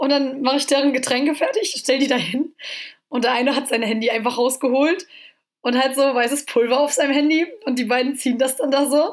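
Her voice is high-pitched, and the woman talks at a fairly quick pace with very even loudness. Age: 20s. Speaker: student. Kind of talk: casual chat.

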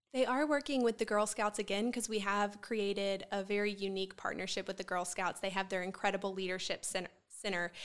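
The speaker talks at a fairly quick pace with hardly any pauses, in a Southern US accent. Intonation stays fairly even on a very clean recording with a silent background. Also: woman, medium pitch for a woman. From Columbia, South Carolina. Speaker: nonprofit executive director. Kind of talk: interview.

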